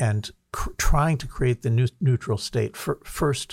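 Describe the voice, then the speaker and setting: This man has a New Jersey accent and a dark, mellow, somewhat breathy tone at medium pitch with ordinary pitch variation. He talks at a moderate pace on a very clean recording with a silent background. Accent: American, New Jersey. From US Northeast (New Jersey). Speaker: author and think-tank president. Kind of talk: podcast interview. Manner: halting, many repetitions.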